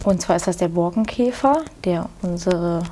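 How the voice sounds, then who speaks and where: An unremarkable speaking voice keeps its intonation fairly even. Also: woman. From Rhineland, Germany (near Cologne). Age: 20s. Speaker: farmer and agriculture student. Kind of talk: interview.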